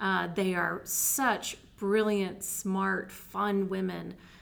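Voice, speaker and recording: This is an ordinary speaking voice with an American accent. The intonation stays fairly even. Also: woman. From Texas. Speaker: theater director and department chair. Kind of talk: interview.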